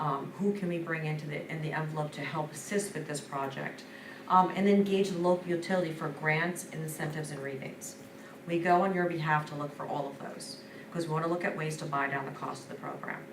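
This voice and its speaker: A woman's very deep, low voice at a very fast pace, amid audible room echo and noticeable background noise. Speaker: energy services consultant presenting to school board. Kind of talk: business presentation. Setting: school board meeting. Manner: enthusiastic.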